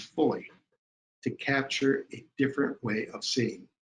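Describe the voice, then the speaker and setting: A man speaks with a fairly high pitch and a somewhat breathy sound. His pace is fairly slow. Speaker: webinar presenter, higher education consultant. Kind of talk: webinar presentation with guided imagination exercise. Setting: online webinar. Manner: slow, deliberate pacing in exercise.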